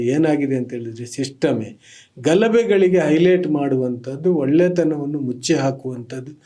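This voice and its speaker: Fairly high in pitch with ordinary pitch variation, this man's voice has a dark, mellow tone. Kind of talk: interview. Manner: clear articulate Kannada.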